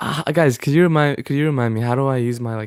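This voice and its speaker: The voice belongs to a man. He speaks with a Gulf Arab accent. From Oman. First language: Arabic. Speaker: gaming streamer. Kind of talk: casual livestream chat with gameplay. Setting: livestream while gaming.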